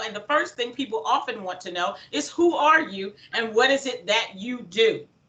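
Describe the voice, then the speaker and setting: This woman sounds energetic at a high pitch. She keeps a moderate pace. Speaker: motivational speaker. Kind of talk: workshop presentation. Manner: loud.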